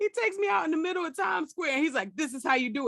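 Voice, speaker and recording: Talking at a very fast pace with an American accent, a woman sounds animated, her pitch swinging very widely. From New York. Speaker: comedian and podcast host. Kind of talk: casual chat.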